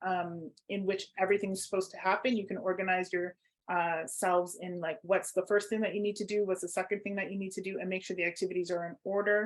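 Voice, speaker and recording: With a Canadian accent, a woman speaks in a plain, everyday voice at a fairly quick pace, her pitch medium and her intonation fairly even. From Toronto, Canada. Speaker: workshop facilitator. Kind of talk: online workshop.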